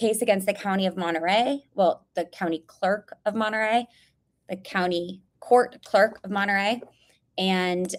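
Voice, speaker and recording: Medium in pitch, a woman talks at a moderate pace. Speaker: podcast host and whistleblower. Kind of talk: casual live-stream update. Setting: live stream video. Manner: loud.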